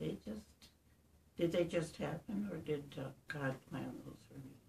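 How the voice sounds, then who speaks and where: A woman's very deep, low voice with vocal fry, at a fairly slow pace over light background noise. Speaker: interviewee. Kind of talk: interview answer. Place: home room. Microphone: camera far.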